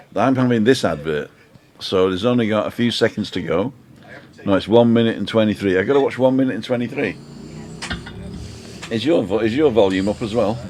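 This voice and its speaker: With noticeable background noise behind him, a man talks at a fairly quick pace and medium pitch, showing ordinary pitch variation and taking long, frequent pauses. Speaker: live stream host. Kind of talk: casual live stream chat. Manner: animated.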